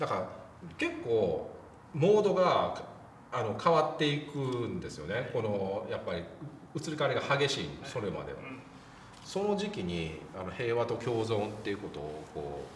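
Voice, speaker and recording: There is noticeable background noise and audible room echo. A man speaks at a moderate pace and medium pitch, with very wide pitch swings. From Japan, Wakayama. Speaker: film critic, show host. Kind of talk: casual film discussion.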